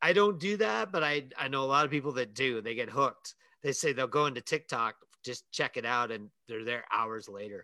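This man has an unremarkable speaking voice at a medium pitch. His intonation is lively. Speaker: podcast host. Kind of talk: casual chat.

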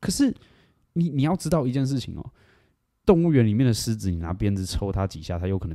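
A man talks at a very fast pace with very wide pitch swings. His tone is dark and mellow, on a very clean recording with a silent background. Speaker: bar owner. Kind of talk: casual chat.

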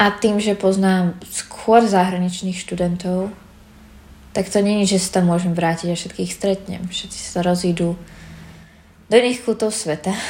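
A woman speaks in an unremarkable speaking voice at medium pitch, fairly slowly and with fairly even intonation. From Slovakia. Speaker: student abroad. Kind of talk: documentary interview.

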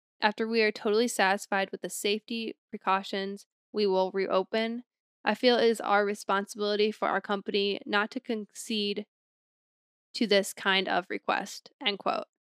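A woman with a plain, everyday voice talks at medium pitch and a moderate pace. Her intonation stays fairly even. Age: 20s. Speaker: podcast co-host. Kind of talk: casual chat.

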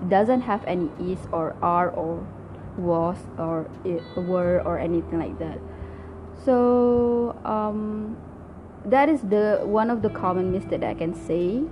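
In a Malaysian accent, the speaker goes at a very slow pace with ordinary pitch variation. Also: woman, medium pitch for a woman. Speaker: language learning podcaster. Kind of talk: solo talk tutorial. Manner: halting, many fillers.

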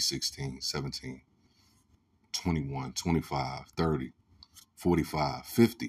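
Here a man speaks at a moderate pace. His intonation is lively. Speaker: podcast host. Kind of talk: solo commentary monologue. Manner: passionate, rising voice.

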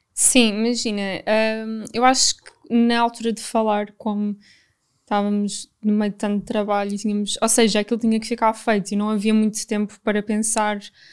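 A fairly high-pitched woman in a flat monotone at a moderate pace, very clean recording with a silent background. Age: 20s. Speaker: travel influencer. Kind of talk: casual chat.

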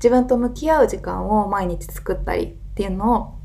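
A woman talking at a fairly quick pace, with audible room echo and noticeable background noise. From Wakayama, Japan. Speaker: podcast host and yoga teacher. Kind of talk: casual monologue.

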